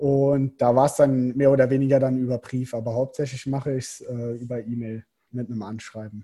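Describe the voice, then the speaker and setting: A man with a medium pitch and a dark, mellow, somewhat breathy tone speaks at a fairly quick pace in a monotone, flat intonation, his loudness swinging widely. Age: 20s. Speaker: professional triathlete. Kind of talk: casual interview.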